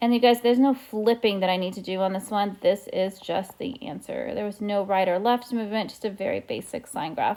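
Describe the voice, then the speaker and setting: Her medium pitch and dark, mellow tone carry fairly even intonation as a woman speaks at a fairly quick pace. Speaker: math teacher. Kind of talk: tutorial.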